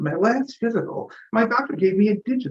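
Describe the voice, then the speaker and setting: Speaking at a fairly slow pace, the man has a high-pitched voice and an American accent. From New York state (Middletown). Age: 60s. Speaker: comedian. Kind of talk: stand-up.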